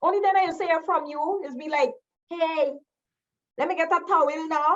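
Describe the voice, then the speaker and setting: Fairly slow and high-pitched, a woman speaks with a Guyanese accent. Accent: Guyanese Creole. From Guyana. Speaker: educator and cultural storyteller. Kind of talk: spoken-word poetry performance. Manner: playful, conversational.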